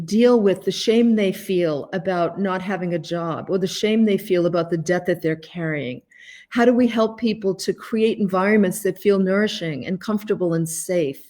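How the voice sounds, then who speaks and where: In a Boston accent, a woman speaks at a moderate pace and medium pitch with ordinary pitch variation. The recording is very clean, with a silent background. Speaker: life coach and author. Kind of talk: live stream talk to viewers. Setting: Facebook live video from home.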